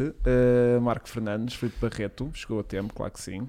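This is a man with a normal speaking voice. His pitch is medium. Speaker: podcast host. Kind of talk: casual chat.

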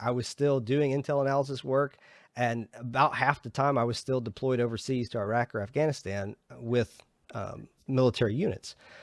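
In an American accent, a man speaks at a moderate pace at medium pitch with ordinary pitch variation and an unremarkable speaking voice. The recording is very clean, with a silent background and a dry, close sound with no echo. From US South (Georgia, rural). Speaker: podcast host, military veteran, data scientist. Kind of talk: interview (being interviewed). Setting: podcast recording.

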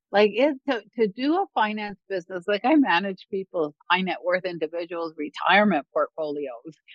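With a Canadian accent, a woman talks at a moderate pace with hardly any pauses, lively intonation, a medium pitch, and an unremarkable speaking voice. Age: 60s. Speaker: songwriter and keynote speaker, former financial advisor. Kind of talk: casual interview chat.

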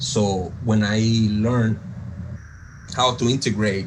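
With a Spanish accent, a man speaks in a monotone, flat intonation, with audible room echo and noticeable background noise. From coastal Venezuela. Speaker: jazz pianist and producer. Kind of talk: interview.

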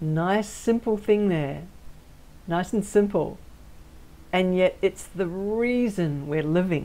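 Speaking at a very slow pace, a woman uses a dark, mellow tone at medium pitch with ordinary pitch variation. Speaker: spiritual intuitive and channeler hosting her own show. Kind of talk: channeled spiritual talk. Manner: simple, unhurried.

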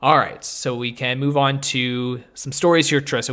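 A man speaks in a bright, sharp tone. His intonation is monotone and flat. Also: very clean recording, silent background. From Canada. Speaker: podcast host. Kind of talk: casual chat.

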